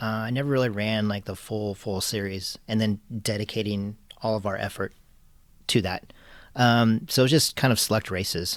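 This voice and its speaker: Soft-spoken and fairly low-pitched, a man with an American accent talks at a moderate pace on a very clean recording with a silent background. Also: fairly even intonation. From Southern California. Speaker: karting tuner. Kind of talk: interview answer.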